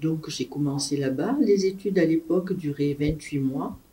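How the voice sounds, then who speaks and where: A woman speaks at a fairly slow pace with a very deep, low pitch and ordinary pitch variation. Her tone is dark and mellow, and somewhat breathy. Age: 60s. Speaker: retired nurse. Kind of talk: interview testimony.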